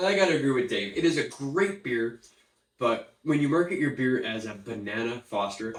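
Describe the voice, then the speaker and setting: A man with an ordinary speaking voice, fairly high pitch, lively intonation, and a moderate pace. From Canada. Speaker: beer reviewer. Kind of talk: casual chat.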